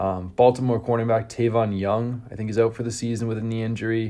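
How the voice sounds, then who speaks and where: The man's tone is dark and mellow, and his intonation stays monotone and flat. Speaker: fantasy football podcast host. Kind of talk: solo podcast commentary. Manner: casual, filler-heavy.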